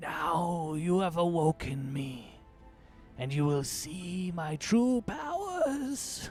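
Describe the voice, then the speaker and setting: At a middle pitch and a very slow pace, a put-on character voice plays over clear music in the background. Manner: melodramatic, menacing.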